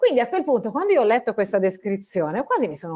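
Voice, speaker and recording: A woman's fairly high-pitched voice against a quiet background. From Italy. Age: 40s. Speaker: science communicator and journalist; journalist. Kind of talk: interview. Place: home room. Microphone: earbuds.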